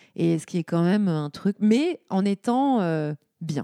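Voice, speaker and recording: A woman speaks in a dark, mellow tone with ordinary pitch variation. The recording is very clean and dry, close, with a silent background and no echo. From Lorraine, France. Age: 40s. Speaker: entrepreneur and former fashion executive. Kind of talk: casual interview chat.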